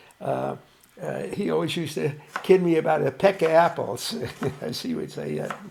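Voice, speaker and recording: A man's moderately paced speech comes through with noticeable background noise behind it. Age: 80s+. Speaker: elderly guest. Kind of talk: casual chat. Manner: halting, many fillers.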